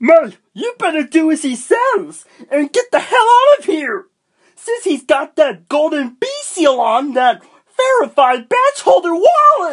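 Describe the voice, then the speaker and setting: An extremely high, cartoonish character voice moves at a fairly slow pace with very wide pitch swings. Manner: nervous, urging.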